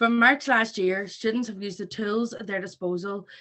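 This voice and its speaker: A woman speaks with a Northern Irish accent and a fairly high pitch. Her intonation is fairly even. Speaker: students' union president. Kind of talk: rally speech. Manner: fast. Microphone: patchy internet connection.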